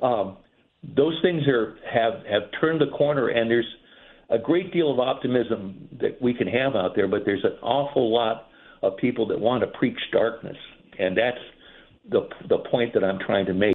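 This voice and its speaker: This man's medium-pitched voice stays very even in loudness, with ordinary pitch variation at a moderate pace. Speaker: caller. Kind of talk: casual chat. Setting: phone call. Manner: halting.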